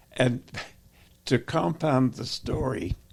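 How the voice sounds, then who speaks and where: A man's very slow speech with vocal fry. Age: 80s+. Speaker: war veteran. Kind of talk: interview answer.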